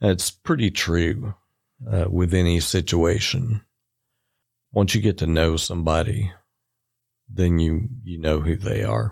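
A man with an American accent and a very deep, low pitch speaks fairly slowly with vocal fry and long, frequent pauses on a very clean recording with a silent background. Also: lively intonation. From US South. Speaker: priest. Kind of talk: casual chat.

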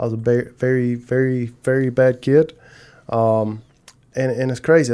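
A man with a Southern US accent speaks at a medium pitch in a dark, mellow tone. His intonation is monotone and flat. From South Carolina. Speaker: marketing agency co-owner. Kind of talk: interview conversation.

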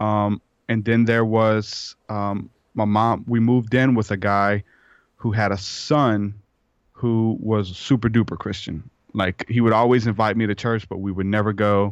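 In a Louisiana accent, a man speaks at a fairly slow pace and fairly low pitch with a monotone, flat intonation over a quiet background. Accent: US Southern (Louisiana). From southeastern Louisiana. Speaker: hip-hop artist and podcaster. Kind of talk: interview conversation.

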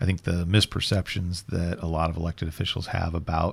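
A man with an American accent speaks at a fairly quick pace in a very deep, low voice. His delivery is monotone and flat, and somewhat breathy. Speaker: podcast host, trade association government affairs director. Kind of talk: casual interview podcast. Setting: studio.

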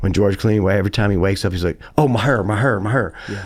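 Speaking in a very deep, low pitch with a Southern US accent, this man shows ordinary pitch variation. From US South. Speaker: songwriter and guitar player. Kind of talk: casual interview chat. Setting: studio.

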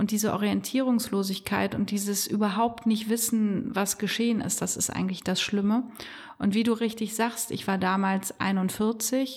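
A woman's fairly high voice in a monotone, flat intonation at a moderate pace. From Germany, Bonn (Rhineland). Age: 40s. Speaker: business owner and carnival figure. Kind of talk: casual interview.

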